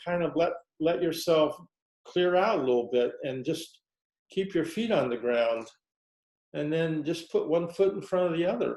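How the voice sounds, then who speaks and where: A man with an American accent has a high pitch and ordinary pitch variation. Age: 70s. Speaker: Zen teacher. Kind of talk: dharma talk. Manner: halting.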